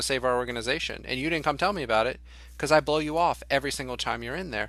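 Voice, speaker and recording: A man with an American accent talks at a very fast pace and medium pitch, in a bright, sharp tone with vocal fry. His pitch varies in an ordinary way on a very clean recording with a silent background. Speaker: leadership organization executive. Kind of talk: interview. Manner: loud.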